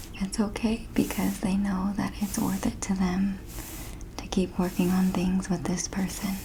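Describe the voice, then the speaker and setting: Soft-spoken and gentle in tone, a woman speaks at a medium pitch and a fairly slow pace over noticeable background noise. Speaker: ASMR creator. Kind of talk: ASMR nurse roleplay, personal attention. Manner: soft-spoken, gentle.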